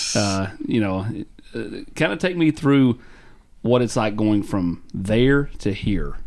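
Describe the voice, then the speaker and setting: Very slow and full of long, frequent pauses, a man with a Tennessee accent speaks at a medium pitch with lively intonation and very even loudness. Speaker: sports show host. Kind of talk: casual interview.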